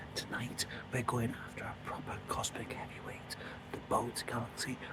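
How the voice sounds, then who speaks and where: A man with a British accent speaks at a moderate pace and medium pitch, with noticeable background noise and audible room echo. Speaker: amateur astrophotographer, channel host. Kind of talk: casual vlog narration. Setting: outdoors. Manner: whispering.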